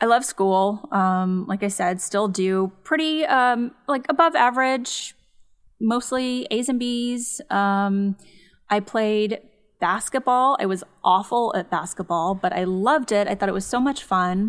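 A woman with a Californian accent speaks at a fairly slow pace. Her pitch is fairly high. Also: ordinary pitch variation. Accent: Californian American. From Los Angeles suburbs, California. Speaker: psychologist and podcast host. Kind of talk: casual chat.

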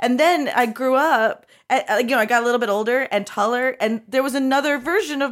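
A woman at a high pitch, speaking at a moderate pace. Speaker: podcaster and comedian. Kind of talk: casual comedy chat. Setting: remote call from her office.

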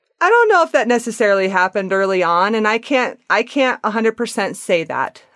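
A woman with an American accent talks in a normal speaking voice, fairly high-pitched and lively in intonation, with hardly any pauses. The sound is dry and close with no echo, and her loudness stays very even. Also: moderate pace. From Wyoming. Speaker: Reiki and yoga practitioner. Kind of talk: casual interview. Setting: remote call.

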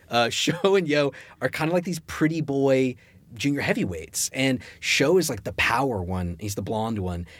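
A man's medium-pitched voice with very wide pitch swings, on a very clean recording with a silent background. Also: moderate pace. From US South, Richmond, Virginia. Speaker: comic book writer. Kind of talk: casual chat.

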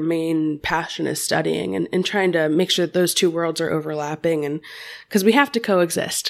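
In a very clean recording with a silent background, a woman with an American accent and a plain, everyday voice speaks at a moderate pace with a fairly low pitch. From US Midwest, Cincinnati, Ohio. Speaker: reptile keeper and podcast host. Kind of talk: casual interview chat.

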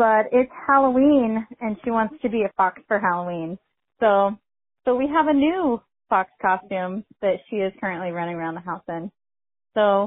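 Lively intonation and a fairly high pitch carry a woman's normal speaking voice at a moderate pace. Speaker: listener caller. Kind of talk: voicemail message. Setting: phone call.

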